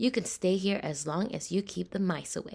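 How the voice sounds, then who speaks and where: A put-on character voice that sounds female, pitched medium for a woman and delivered at a moderate pace. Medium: read story. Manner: stern, commanding.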